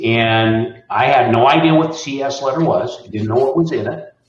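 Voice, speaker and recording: Somewhat breathy, a man speaks at a moderate pace. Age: 60s. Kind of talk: interview answer.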